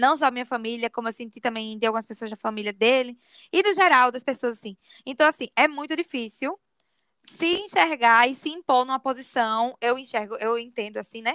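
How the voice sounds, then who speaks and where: Dry and close with no echo on a very clean recording with a silent background, a woman speaks at a high pitch and a fairly quick pace, her tone bright and sharp, with ordinary pitch variation. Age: 20s. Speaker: podcast co-host. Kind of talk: casual chat.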